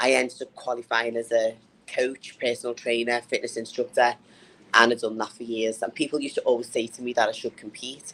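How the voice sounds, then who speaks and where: Speaking at a fairly quick pace in a northern English accent, a woman with a very deep, low pitch keeps a flat, monotone intonation while her loudness swings widely. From northern England. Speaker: bodybuilder and personal trainer. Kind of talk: interview.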